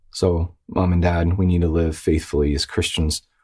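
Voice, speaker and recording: On a very clean recording with a silent background, a man speaks with a very deep, low pitch and a somewhat breathy voice. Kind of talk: exhortation monologue. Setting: video recording. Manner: faint, weak.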